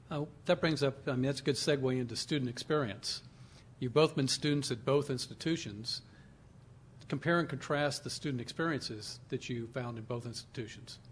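A man talks at a fairly quick pace in a medium, somewhat breathy voice. His intonation stays fairly even against a quiet background. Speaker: panel moderator, alumni association head. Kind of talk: moderating a panel.

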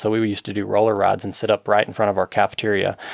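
A man with an American accent talks at a very fast pace in a fairly low pitch, recorded with a dry, close sound and no echo. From Western Kentucky (Murray), US South. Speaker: cycling coach and champion racer. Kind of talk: casual interview. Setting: studio.

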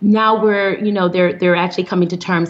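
This is a woman with a fairly low pitch. Noticeable background noise can be heard. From US Midwest, Flint, Michigan. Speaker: psychiatrist. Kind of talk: interview.

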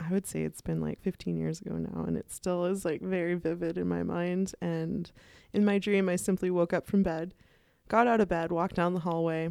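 Speaking at a fairly quick pace over a quiet background, a woman uses a fairly low, dark, mellow voice in a monotone with flat intonation. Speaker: students union VP, student. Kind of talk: casual chat.

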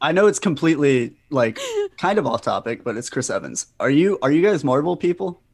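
With an ordinary speaking voice, a man talks at a fairly quick pace in a fairly high pitch with lively intonation against a quiet background. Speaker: comedian and writer. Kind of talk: casual chat.

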